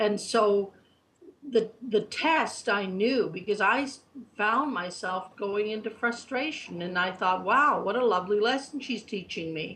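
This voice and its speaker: With an unremarkable speaking voice, a woman talks fairly slowly, her fairly high pitch showing ordinary variation. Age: 60s. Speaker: spiritual reader and guide. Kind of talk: interview. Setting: online chat show.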